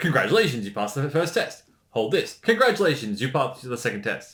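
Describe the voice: Here a man talks at a fairly quick pace and a medium pitch. His tone is fairly bright, with big pitch swings.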